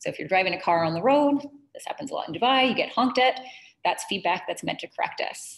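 At a fairly quick pace, a woman speaks with very wide pitch swings. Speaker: presenter. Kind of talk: webinar presentation. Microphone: webcam.

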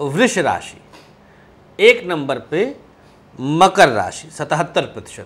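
A man speaks at a very slow pace with long, frequent pauses. His pitch swings very widely and his loudness shifts in big swings. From Awadh region, Uttar Pradesh (Faizabad/Ambedkar Nagar area); Uttar Pradesh, India. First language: Awadhi (speaking Hindi). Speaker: astrologer. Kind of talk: astrology tips to camera. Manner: casual, chatty. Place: studio. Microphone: lapel.

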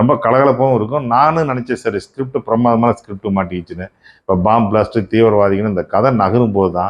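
This man has a plain, everyday voice, with medium pitch and ordinary pitch variation. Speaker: film reviewer. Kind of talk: movie review monologue.

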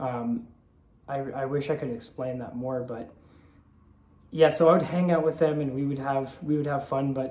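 A man with a fairly high pitch and a dark, mellow, somewhat breathy tone, at a moderate pace with fairly even intonation, long, frequent pauses and audible room echo. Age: 30s. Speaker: vlogger. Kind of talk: personal confessional vlog. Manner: halting, many filler ums. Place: home room. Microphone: phone near.

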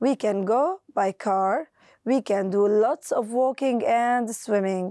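Speaking at a very slow pace, a woman with a fairly high pitch, a dark, mellow tone and lively intonation is heard against a quiet background in a dry sound with no echo. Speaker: teacher. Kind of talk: lesson. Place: studio.

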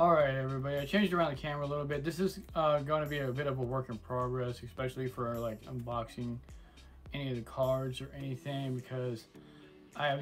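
A man at a fairly quick pace with fairly even intonation, clear music in the background. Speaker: card unboxing channel host. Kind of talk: casual unboxing commentary. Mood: self-deprecating, relaxed. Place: home room.

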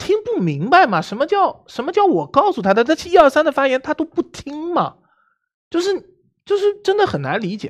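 A man speaks at a fairly quick pace with a high pitch. The background is quiet. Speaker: game player. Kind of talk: game discussion. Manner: animated. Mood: frustrated, arguing his case. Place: studio. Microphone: headset.

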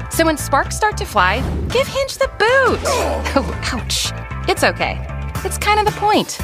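The delivery comes at a fairly slow pace. The sound is dry with no echo, and clear music plays in the background. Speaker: voice actor. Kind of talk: TV commercial read. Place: booth.

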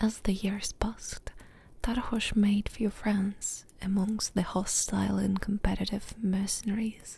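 Soft-spoken, dramatic delivery at a fairly slow pace with a dry sound and no echo. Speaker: ASMR gaming YouTuber. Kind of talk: whispered audiobook-style story reading, soothing ASMR bedtime narration. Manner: soft, hushed, slow and even, lulling; unhurried, gently dramatic, pausing between sentences. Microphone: studio mic.

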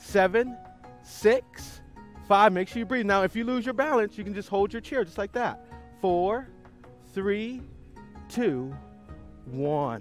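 Faint music sits in the background as a man talks at a moderate pace, the sound dry with no echo. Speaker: fitness instructor. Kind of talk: exercise class instruction. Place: waterside. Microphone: headset.

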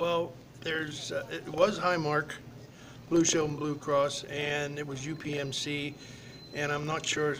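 Over noticeable background noise, a man speaks in a monotone, flat intonation. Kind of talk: interview answer. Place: hall. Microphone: webcam.

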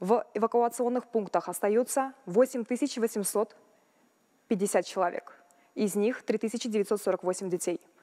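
Against a quiet background, a woman talks very slowly with long, frequent pauses. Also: fairly high pitch for a woman, ordinary pitch variation. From Kazakhstan. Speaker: ministry spokesperson. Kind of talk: official briefing. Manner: formal. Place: hall.

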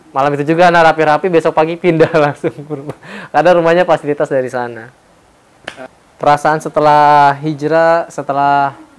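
A man's fairly high, monotone, flat delivery at a very fast pace. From Indonesia. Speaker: former religious school teacher; interviewee, former boarding school teacher. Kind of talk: personal testimony. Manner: casual conversational. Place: home room. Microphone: lapel.

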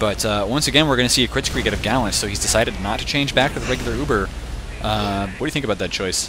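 Speaking very quickly, a man is heard with noticeable noise in the background. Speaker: esports shoutcaster. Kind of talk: live commentary. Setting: home recording at apartment. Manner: animated.

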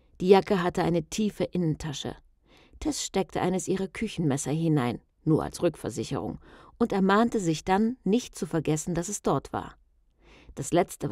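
A woman with a plain, everyday voice speaks at a fairly low pitch and moderate pace with lively intonation, in a dry, close sound with no echo. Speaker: audiobook narrator. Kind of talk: tense horror thriller narration, read aloud like a ghost story.

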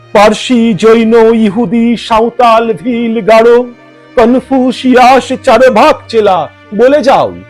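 Music plays in the background. Over it, a man talks at an extremely high pitch. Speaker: poetry reciter. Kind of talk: poetry reading.

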